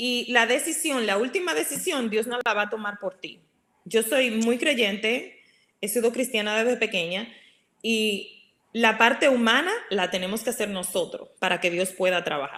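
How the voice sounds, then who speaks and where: Bright and sharp in tone, a woman speaks at a fairly high pitch with lively intonation. Her pace is fairly quick. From Dominican Republic. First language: Spanish. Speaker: regional sales director. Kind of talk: casual interview.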